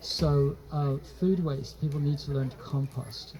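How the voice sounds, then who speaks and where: Noticeable background noise surrounds the recording. A man speaks at a fairly slow pace. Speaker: trauma therapist and speaker. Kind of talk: public talk. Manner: halting.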